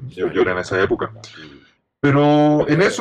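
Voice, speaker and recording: Using an unremarkable speaking voice, a man talks at a fairly high pitch and a moderate pace. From Japan, Kitakyushu. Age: 50s. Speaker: design company executive. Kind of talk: interview.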